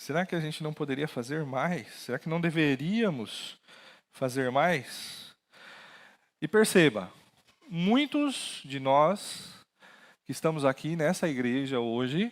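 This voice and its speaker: Using lively intonation, a man with a fairly high voice talks at a very slow pace with long, frequent pauses. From interior of São Paulo state, Brazil. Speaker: pastor. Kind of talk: sermon. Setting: church with PA system.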